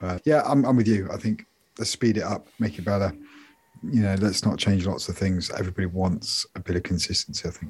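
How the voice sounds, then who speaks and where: A man speaks in a fairly low, somewhat breathy voice. He moves at a fairly quick pace with ordinary pitch variation. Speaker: tech podcast co-host. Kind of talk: casual chat.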